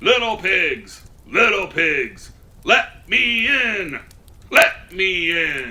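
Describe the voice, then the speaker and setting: Using a put-on character voice, a man talks very slowly at a high pitch. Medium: read story. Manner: growling, menacing.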